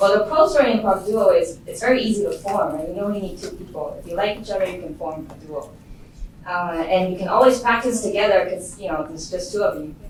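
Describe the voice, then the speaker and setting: A woman speaks very fast at a medium pitch with lively intonation and big swings in loudness, over noticeable background noise and audible room echo. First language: not English. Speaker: machine learning engineer, improviser. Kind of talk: lecture. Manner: casual.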